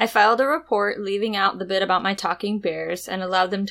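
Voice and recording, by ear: With fairly even intonation, the speaker reads aloud in a natural voice.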